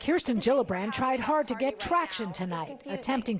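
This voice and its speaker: Over noticeable background noise, a woman speaks at a fairly high pitch, her voice making very wide pitch swings. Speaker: TV news reporter. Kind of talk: TV news field report.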